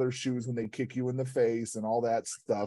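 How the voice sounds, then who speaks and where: Speaking at a fairly quick pace with an American accent, a man has a medium pitch, a dark, mellow tone and monotone, flat intonation. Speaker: guest co-host, coach. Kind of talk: casual chat.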